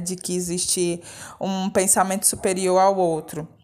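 A woman's voice in a monotone, flat intonation. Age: 30s. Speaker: theatre director and teacher. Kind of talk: interview testimony. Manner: talkative.

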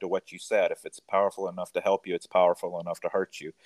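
A man with a Mississippi accent, dry and close with no echo, on a very clean recording with a silent background. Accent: Southern US (Mississippi). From rural Mississippi, US South. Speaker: physician. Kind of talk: interview.

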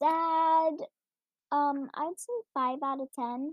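This quiet voice moves at a very slow pace. Its intonation stays fairly even. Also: woman. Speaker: podcaster reading and rating online stories. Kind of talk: reading aloud with commentary. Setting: home recording, early morning with family asleep. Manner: quiet, trying to talk louder.

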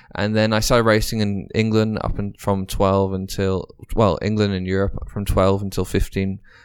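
A man with an English accent speaks at a moderate pace in a fairly low voice, his intonation flat and monotone, on a very clean recording with a silent background. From Dubai, British parents. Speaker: racing driver. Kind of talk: interview.

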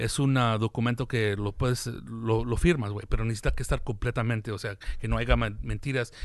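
In an unremarkable speaking voice, a man of medium pitch talks at a moderate pace against a quiet background. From US, Mexican-American family. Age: 40s. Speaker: comedian and podcast host. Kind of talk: casual chat.

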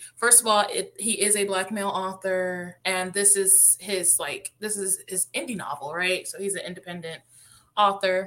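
This woman has an unremarkable speaking voice at a medium pitch. She speaks at a moderate pace with ordinary pitch variation. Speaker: podcast host. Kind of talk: casual chat.

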